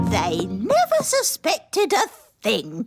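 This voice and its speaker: A cartoonish character voice at a fairly slow pace, with faint music in the background. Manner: sly, pleased with herself.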